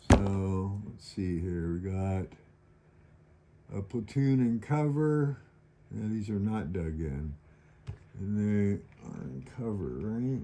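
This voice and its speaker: Speaking very slowly with long, frequent pauses, a man uses a fairly low pitch, lively intonation and big swings in loudness. Noticeable background noise runs behind him. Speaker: board wargame video maker. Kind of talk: tutorial.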